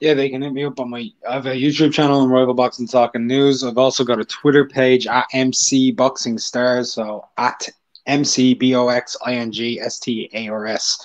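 Against a quiet background, a man with a medium-pitched voice speaks at a moderate pace in a monotone, flat delivery with hardly any pauses. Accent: Irish. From Ireland. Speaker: boxing YouTuber and freelance writer; boxing YouTuber. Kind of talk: casual panel discussion. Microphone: video call.

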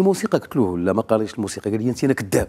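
A man's dark, mellow voice, very fast, with very wide pitch swings over a quiet background. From Morocco. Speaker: violinist; guest. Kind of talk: interview anecdote. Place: studio. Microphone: lapel.

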